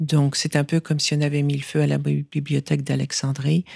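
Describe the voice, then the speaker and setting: A woman with a very deep, low pitch in a dry, close sound with no echo. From France. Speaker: author and foundation head. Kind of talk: radio interview. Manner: halting, many repeated words.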